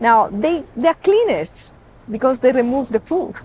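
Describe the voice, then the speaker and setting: A woman speaks with an Italian accent at a fairly slow pace. Her pitch swings very widely. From Sicily, Italy. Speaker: safari guide. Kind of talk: interview. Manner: halting.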